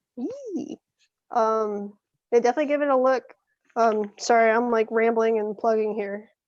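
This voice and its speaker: With fairly even intonation, a woman at a fairly high pitch speaks at a moderate pace, leaving long, frequent pauses. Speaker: artist. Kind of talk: casual chat. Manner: halting.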